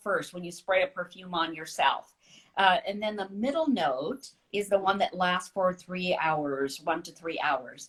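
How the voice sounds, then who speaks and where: A woman talks in a plain, everyday voice. Her intonation is lively and her loudness swings widely. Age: 60s. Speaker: author. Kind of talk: casual chat.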